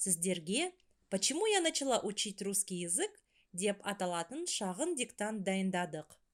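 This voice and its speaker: At a very slow pace, a woman talks in a medium pitch with very wide pitch swings, on a very clean recording with a silent background. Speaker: language teacher. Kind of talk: tutorial.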